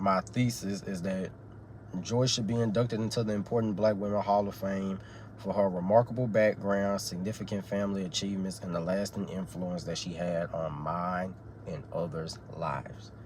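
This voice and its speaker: Over noticeable background noise, a man with an American accent speaks at a moderate pace in a fairly low pitch with fairly even intonation. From Texas, Dallas. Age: 18. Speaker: student. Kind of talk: class speech. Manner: halting, many fillers.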